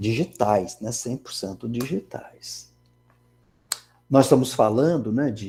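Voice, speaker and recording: A man talks fairly slowly at a medium pitch with ordinary pitch variation. His tone is dark and mellow, with vocal fry. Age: 60s. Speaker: engineering professor. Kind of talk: lecture. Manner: conversational, many fillers.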